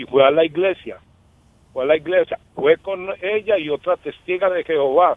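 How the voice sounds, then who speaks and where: This man has a high pitch and ordinary pitch variation. He speaks at a moderate pace, with big swings in loudness. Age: 50s. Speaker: caller. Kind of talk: testimony. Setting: phone call.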